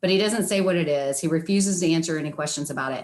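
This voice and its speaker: A woman talks in a plain, everyday voice. Her pitch is fairly low and her intonation fairly even. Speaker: attorney. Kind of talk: oral argument before appeals court. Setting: video call.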